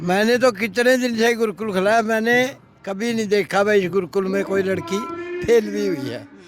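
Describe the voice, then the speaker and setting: Noticeable background noise sits behind a man's high voice. His pitch moves with ordinary variation. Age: 70s. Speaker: retired bank manager, local elder. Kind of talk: interview.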